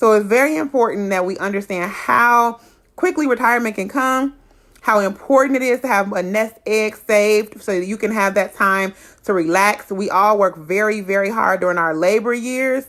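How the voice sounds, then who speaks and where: Her pitch fairly high, this woman talks with ordinary pitch variation. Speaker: insurance educator vlogger. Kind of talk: informational tutorial. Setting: solo livestream on laptop. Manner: fast.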